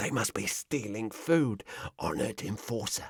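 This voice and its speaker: A man puts on a character voice at a medium pitch and moderate pace, with a dry, close sound with no echo. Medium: read story. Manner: fawning, wheedling.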